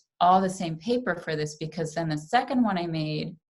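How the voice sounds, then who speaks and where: A woman with an American accent and a normal speaking voice talks at a moderate pace, her pitch fairly low with ordinary variation, on a very clean recording with a silent background. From New York, US. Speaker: artist and papermaker. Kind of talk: pre-recorded presentation. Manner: casual, with frequent fillers.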